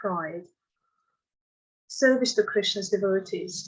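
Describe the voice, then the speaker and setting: A woman with a non-native accent. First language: not English. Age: 60s. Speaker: devotee reading own poem. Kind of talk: reading aloud.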